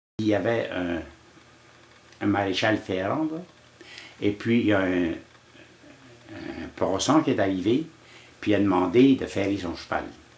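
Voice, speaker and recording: Over noticeable background noise, a man speaks very slowly at a fairly low pitch, with long, frequent pauses. His intonation is lively. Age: 80s+. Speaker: elder sharing life lessons. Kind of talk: storytelling interview. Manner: halting, with frequent repetitions.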